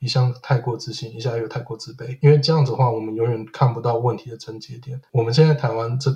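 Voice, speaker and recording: A man's somewhat breathy, medium-pitched voice, very fast with hardly any pauses, fairly even intonation and big swings in loudness. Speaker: podcaster living in Sweden. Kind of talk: casual chat. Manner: halting, frequent word repetitions.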